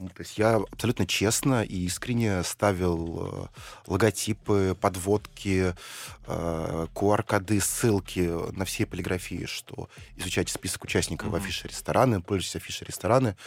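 A man with a very deep, low voice speaks with big swings in loudness. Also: fairly even intonation, moderate pace. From Russia, Saint Petersburg. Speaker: investor and entrepreneur. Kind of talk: radio interview.

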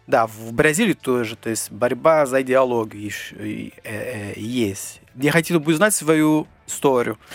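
Music in the background behind a man with a Portuguese accent at medium pitch, fairly slow yet with hardly any pauses, his loudness swinging widely and his pitch varying in an ordinary way. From northeastern Brazil. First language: Portuguese (speaking Russian). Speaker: Brazilian immigrant. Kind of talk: interview. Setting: studio. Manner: halting.

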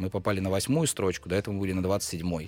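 A man's very deep, low-pitched voice. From Russia, Pskov. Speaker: bar co-founder. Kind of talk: casual interview.

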